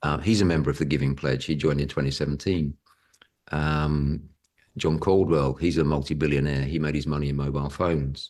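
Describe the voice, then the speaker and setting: Vocal fry runs through this voice with a British accent. The pace is fairly quick. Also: man. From Britain. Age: 60s. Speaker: property investor and educator. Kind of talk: podcast interview.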